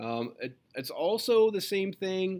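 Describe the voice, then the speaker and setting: The background is quiet. The speaker is a man. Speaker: physics teacher. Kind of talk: lecture. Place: classroom.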